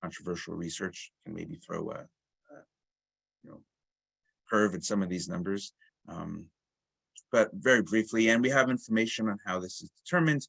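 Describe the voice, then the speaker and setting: The speech has lively intonation, big swings in loudness, and long, frequent pauses. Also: man, medium pitch for a man. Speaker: marketing director presenting a product webinar. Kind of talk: product demo webinar. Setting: online webinar. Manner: fast, with many fillers and self-corrections.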